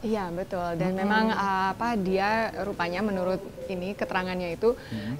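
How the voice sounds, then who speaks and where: Noticeable background noise sits behind a woman's voice. She speaks at a moderate pace and medium pitch with fairly even intonation. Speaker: TV host. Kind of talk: casual TV talk show chat.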